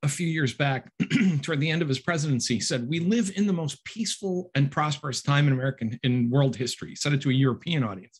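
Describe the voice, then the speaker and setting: Lively intonation and a somewhat breathy sound come through at a very fast pace. The background is quiet. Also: man. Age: 60s. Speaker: author and instructor; instructor. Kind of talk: book talk. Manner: halting. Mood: conversational, mildly wry. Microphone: webcam.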